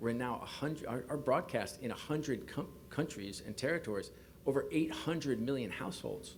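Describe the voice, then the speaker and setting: A man with medium pitch and ordinary pitch variation talks at a fairly quick pace amid audible room echo. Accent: New York. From US, New York. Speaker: sports league executive. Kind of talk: press conference. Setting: press conference podium.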